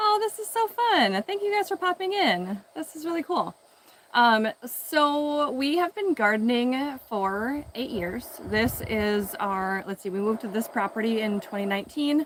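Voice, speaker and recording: A woman mumbles in a high voice with very wide pitch swings. Noticeable background noise runs underneath. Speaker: home gardener and video creator. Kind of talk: casual live stream garden tour. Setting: outdoors in garden, live stream. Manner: mumbling; casual with many fillers.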